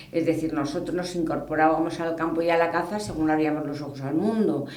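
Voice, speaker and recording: Over noticeable background noise and audible room echo, the voice carries ordinary pitch variation. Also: woman. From Spain, Toledo. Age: 60s. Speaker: hunting club president. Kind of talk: interview. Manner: conversational, with hesitations.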